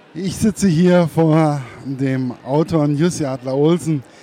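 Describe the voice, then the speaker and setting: A man with a normal speaking voice, fairly high pitch and fairly even intonation. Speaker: interviewer. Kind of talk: interview.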